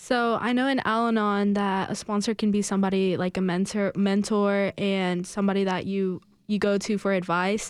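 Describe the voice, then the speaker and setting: A woman speaks in a monotone, flat way with hardly any pauses. The recording is very clean against a silent background. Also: medium pitch for a woman, moderate pace, very even loudness. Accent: Spanish. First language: Spanish. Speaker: Alateen member. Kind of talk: radio interview, personal testimony.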